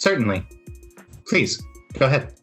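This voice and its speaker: A put-on character voice at a low-to-middle pitch plays with faint music in the background. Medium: actual play. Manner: courteous, formal.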